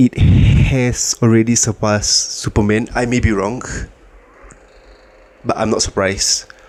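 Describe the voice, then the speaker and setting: With noticeable noise behind him, this man's speech is broken by long, frequent pauses. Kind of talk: casual talk to camera.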